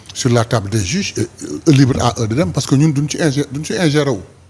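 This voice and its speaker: Moderate pace with ordinary pitch variation. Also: man. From Senegal, Saint-Louis. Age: 60s. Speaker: politician. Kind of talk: interview.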